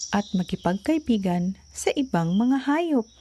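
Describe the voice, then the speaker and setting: At a fairly slow pace, a woman speaks in a gentle, soothing tone with fairly high pitch and very wide pitch swings over noticeable background noise. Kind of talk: bedtime story narration. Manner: gentle, soothing, slow storyteller pace.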